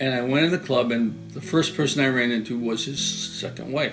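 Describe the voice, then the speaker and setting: With music in the background, the voice moves at a moderate pace and shows ordinary pitch variation. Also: man. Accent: Western New York. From Western New York, USA. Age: 80s+. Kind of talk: interview answer.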